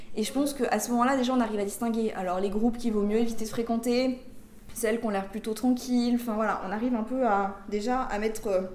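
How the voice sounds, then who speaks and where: Audible room echo surrounds a woman speaking at a very fast pace. Her fairly high voice stays monotone, with flat intonation. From France, Grenoble region (rural). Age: 20s. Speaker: former prisoner, prisoners' rights activist. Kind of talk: interview testimony.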